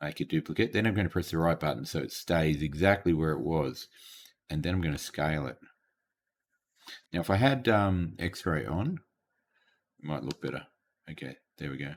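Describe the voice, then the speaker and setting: On a very clean recording with a silent background, a man with a very deep, low pitch and vocal fry talks at a moderate pace with lively intonation and long, frequent pauses. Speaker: teacher. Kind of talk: tutorial. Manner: halting.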